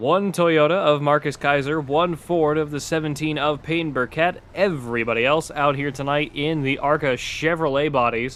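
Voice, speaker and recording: Noticeable background noise runs under a man's fairly high voice. He keeps a moderate pace with hardly any pauses and fairly even intonation. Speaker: sim racing broadcaster. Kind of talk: live commentary. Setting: home bedroom. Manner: monotone.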